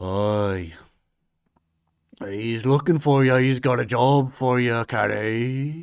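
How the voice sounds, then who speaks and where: In a put-on character voice, a man speaks at a medium pitch and a very slow pace, with long, frequent pauses. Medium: actual play. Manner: stuttering, conspiratorial.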